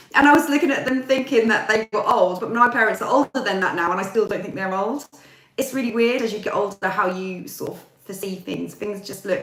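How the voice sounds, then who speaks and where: The speaker has an English accent and lively intonation. The loudness swings a lot. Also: woman. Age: 40s. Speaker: YouTuber. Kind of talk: casual chat. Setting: live stream. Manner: chatty.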